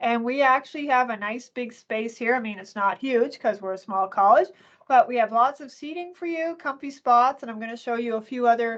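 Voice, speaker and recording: Pitch varies in an ordinary way while the loudness swings a lot. The background is quiet. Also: woman. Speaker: college library resource manager. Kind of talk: online information session presentation. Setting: video call from her office. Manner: fast; chatty, animated.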